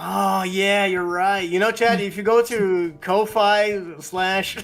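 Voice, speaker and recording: A man speaks very slowly in a high, monotone, flat voice over noticeable background noise. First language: Portuguese. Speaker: podcast co-host. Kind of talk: casual chat. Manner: halting.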